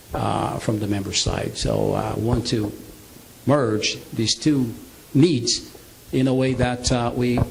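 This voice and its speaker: Fairly even intonation with audible room echo and noticeable background noise. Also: man. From Brazil. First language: Portuguese. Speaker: business presenter. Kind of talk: sales pitch. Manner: halting.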